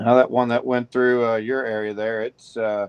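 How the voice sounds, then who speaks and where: A medium-pitched man with a Missouri accent. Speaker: weather broadcaster. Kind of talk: live weather coverage.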